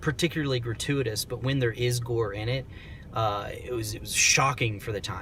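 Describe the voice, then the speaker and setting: Against noticeable background noise, a man with a medium pitch speaks at a moderate pace. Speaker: film reviewer. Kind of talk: casual monologue review. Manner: soft-spoken; hesitant, many fillers.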